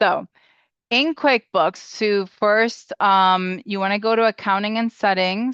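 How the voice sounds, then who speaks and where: A woman at a very slow pace, medium in pitch with ordinary pitch variation, dry and close with no echo over a quiet background. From Springfield, Massachusetts (born in Puerto Rico). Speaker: bookkeeper. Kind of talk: webinar tutorial.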